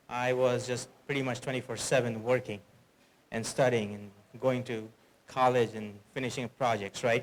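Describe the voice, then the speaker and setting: Speaking in an Indian accent, a man delivers his words with monotone, flat intonation and long, frequent pauses. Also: medium pitch for a man. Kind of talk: conference talk. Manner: fast.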